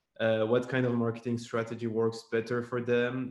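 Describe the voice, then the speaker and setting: Speaking at a fairly quick pace in a French accent, the voice stays monotone with flat intonation. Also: man. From Madagascar. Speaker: former remote intern. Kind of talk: webinar panel discussion.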